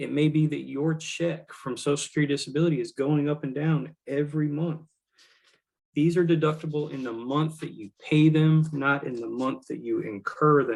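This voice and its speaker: An ordinary speaking voice comes through here. The pace is moderate and the intonation fairly even. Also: man, fairly high pitch for a man. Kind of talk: webinar presentation.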